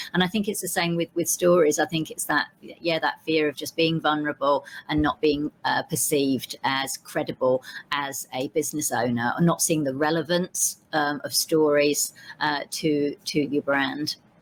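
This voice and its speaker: With a Cockney accent and a very deep, low pitch, a woman speaks at a moderate pace with fairly even intonation in a dry, close sound with no echo. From East End of London, England. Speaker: vegan entrepreneur and storytelling consultant. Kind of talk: podcast interview. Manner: conversational with frequent fillers.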